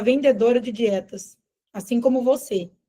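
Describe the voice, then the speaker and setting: A woman's high pitch with ordinary pitch variation and a dark, mellow tone. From Brazil, Minas Gerais family (born elsewhere). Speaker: nutritionist and business mentor. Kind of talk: live sales webinar.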